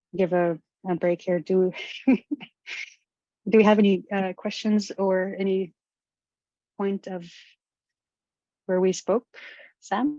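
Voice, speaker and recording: A woman with a dark, mellow tone and a Canadian Arctic accent, fairly even intonation, a very slow pace with long, frequent pauses, in a dry, close sound with no echo. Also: medium pitch for a woman. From Nunavut, Canadian Arctic. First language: Inuktitut. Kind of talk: webinar talk. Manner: halting.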